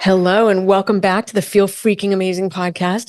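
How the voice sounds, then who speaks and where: Her voice is a plain, everyday voice, and this woman speaks at a medium pitch. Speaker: podcast host. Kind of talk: podcast intro. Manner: upbeat.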